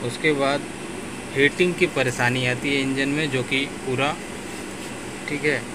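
Over clear background noise, the speaker moves at a fairly slow pace with fairly even intonation. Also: man, medium pitch for a man.

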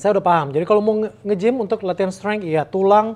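This is a male speaker. The rise and fall of his pitch is ordinary. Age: 40s. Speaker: divorced single father; interview guest. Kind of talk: casual chat. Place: home room.

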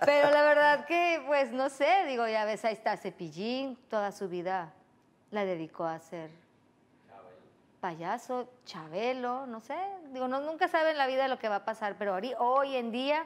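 A woman's high-pitched voice moves through very wide pitch swings. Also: fairly slow pace. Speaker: guest. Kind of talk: interview answer. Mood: cheerful, laughing. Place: studio. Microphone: lapel.

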